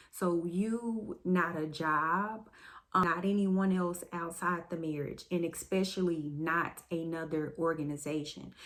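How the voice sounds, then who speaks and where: In an ordinary speaking voice, a woman speaks at a fairly slow pace with a fairly low pitch and fairly even intonation. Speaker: testimony vlogger. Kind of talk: testimony.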